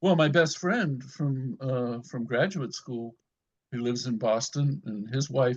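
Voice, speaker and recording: Against a quiet background, a man sounds somewhat breathy, talking at a fairly slow pace with ordinary pitch variation. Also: medium pitch for a man. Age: 70s. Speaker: community group member. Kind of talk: casual chat.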